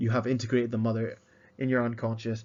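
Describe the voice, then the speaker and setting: This is a man speaking. His pitch is medium. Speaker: educational video presenter. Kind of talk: slide-based lecture. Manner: halting, many fillers and repetitions; mumbling.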